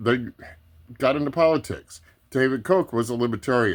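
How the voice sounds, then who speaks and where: A man at medium pitch with ordinary pitch variation and a moderate pace, on a very clean recording with a silent background. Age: 60s. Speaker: political commentator vlogger. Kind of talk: casual monologue explainer. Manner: casual, hesitant with fillers.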